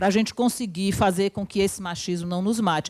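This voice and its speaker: On a very clean recording with a silent background, a woman speaks at a moderate pace in a medium pitch with ordinary pitch variation. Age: 60s. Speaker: university professor and union speaker. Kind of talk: lecture. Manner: animated.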